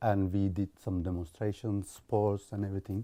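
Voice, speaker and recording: Fairly low in pitch with a dark, mellow tone, a man with a Turkish accent speaks at a moderate pace in a very clean recording over a silent background. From Turkey (Istanbul). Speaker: IT specialist and charity volunteer. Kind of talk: interview testimony.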